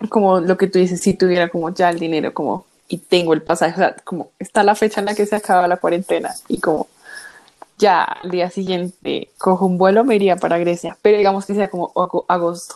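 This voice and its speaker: Talking at a fairly quick pace, a woman keeps a medium pitch. Her intonation stays monotone and flat. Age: 20s. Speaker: university student, podcast co-host. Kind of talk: casual chat.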